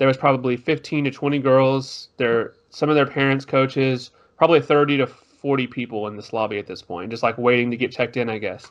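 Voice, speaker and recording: A man uses a plain, everyday voice with an American accent and fairly even intonation. He moves at a fairly quick pace with hardly any pauses. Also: medium pitch for a man. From Texas, Tyler. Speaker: podcast co-host. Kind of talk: casual chat. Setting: video podcast.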